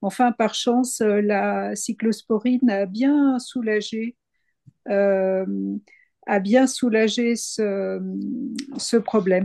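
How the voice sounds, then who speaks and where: Fairly high in pitch yet dark and mellow in tone, a woman speaks with fairly even intonation, the sound dry and close with no echo over a quiet background. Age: 60s. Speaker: patient giving testimony. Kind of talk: testimony. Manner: halting, many hesitations.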